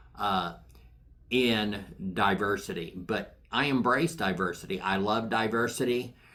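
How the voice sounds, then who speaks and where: A man with a fairly low pitch speaks in a bright, sharp tone at very even loudness, with ordinary pitch variation and audible room echo. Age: 60s. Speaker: Bible teacher podcaster. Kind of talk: Bible teaching monologue. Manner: conversational with frequent fillers.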